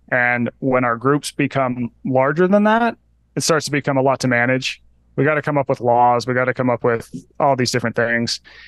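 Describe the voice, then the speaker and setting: In a plain, everyday voice, a man speaks at a fairly quick pace with a medium pitch, ordinary pitch variation and very even loudness, the sound dry and close with no echo against a quiet background. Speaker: author and health journalist. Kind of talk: casual interview chat.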